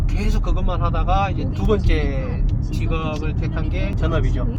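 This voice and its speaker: A man talking at a fairly slow pace with hardly any pauses, amid noticeable background noise. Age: 30s. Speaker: full-time stock trader, former phone shop owner. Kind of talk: casual interview.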